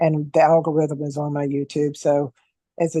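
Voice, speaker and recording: A woman speaks in a dark, mellow tone. The sound is dry and close, with no echo. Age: 60s. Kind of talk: casual chat.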